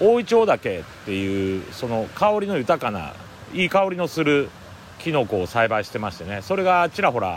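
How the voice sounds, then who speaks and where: Man's medium-pitched voice, very wide pitch swings, noticeable background noise. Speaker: forest owner and podcaster. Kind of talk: solo outdoor audio diary. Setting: outdoors in a mountain forest.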